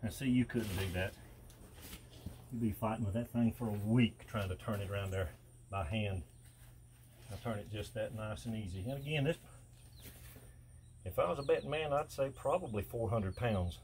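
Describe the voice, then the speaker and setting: A man's somewhat breathy, relaxed voice at medium pitch, moderate pace and ordinary pitch variation, with long, frequent pauses. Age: 60s. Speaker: welder and steel fabricator. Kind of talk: casual vlog narration. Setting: outdoors. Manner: relaxed, folksy.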